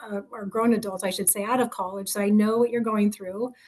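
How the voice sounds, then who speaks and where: A woman's fairly high voice with monotone, flat intonation. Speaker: recruiter. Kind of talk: presentation. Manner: fast; many fillers (um, you know).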